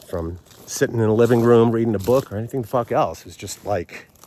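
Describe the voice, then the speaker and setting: Mumbling at a very fast pace, a man talks with an American accent at medium pitch. His ordinary pitch variation comes through over noticeable background noise. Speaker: vlogger. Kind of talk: casual monologue. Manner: halting, many fillers.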